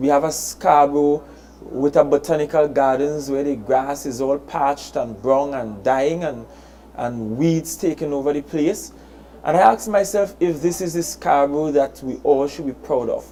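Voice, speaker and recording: The speaker talks in a Trinidadian accent at a moderate pace. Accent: Trinidad and Tobago English. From Tobago. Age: 30s. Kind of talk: public address.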